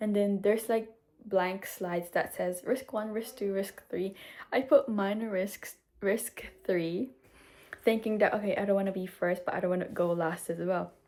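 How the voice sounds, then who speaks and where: A woman speaks with a dark, mellow tone at a medium pitch. Her intonation is fairly even, and her pace is moderate. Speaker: vlogger. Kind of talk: casual vlog monologue. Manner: halting, self-correcting.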